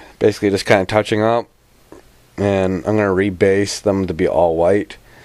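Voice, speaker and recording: A man's monotone, flat intonation at a moderate pace. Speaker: tabletop wargaming hobbyist. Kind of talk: casual vlog. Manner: halting.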